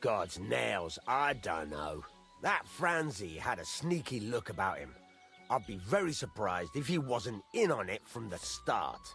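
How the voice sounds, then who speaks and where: Over clear music in the background, a man does a gruff, put-on character voice at medium pitch and a moderate pace. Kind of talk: rustic working-class speech. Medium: video game. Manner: gruff, folksy, swears by God's nails.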